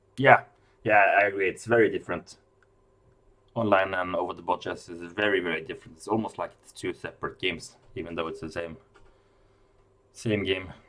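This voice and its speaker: At a fairly quick pace with long, frequent pauses, a man speaks in a fairly low pitch with a bright, sharp tone, fairly even intonation and big swings in loudness. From Norway. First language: Norwegian. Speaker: chess commentator. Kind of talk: live commentary. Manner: halting, with repeated words.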